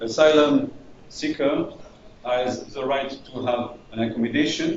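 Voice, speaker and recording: With noticeable background noise and audible room echo, a man with a French accent speaks at a very slow pace with fairly even intonation. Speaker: refugee integration manager. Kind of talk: presentation. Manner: halting.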